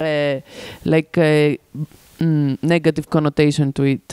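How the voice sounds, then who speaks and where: Over noticeable background noise, a woman with a very deep, low pitch talks at a moderate pace, the sound dry and close with no echo. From Greece, Athens. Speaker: arts organization worker. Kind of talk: seminar discussion.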